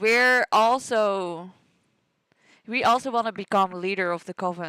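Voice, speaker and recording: A woman with a Dutch accent, bright and sharp in tone, at a fairly slow pace with ordinary pitch variation, in a very clean recording with a silent background and a dry, close sound with no echo. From Netherlands. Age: 20s. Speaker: gaming streamer. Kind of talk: let's play commentary. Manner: casual, chatty.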